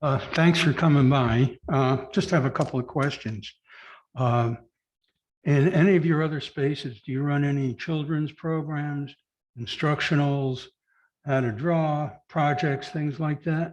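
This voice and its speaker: Intonation kept fairly even, quiet background behind it. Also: man, fairly high pitch for a man, fairly slow pace. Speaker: board commissioner. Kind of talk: public meeting questioning. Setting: public board meeting. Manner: loud.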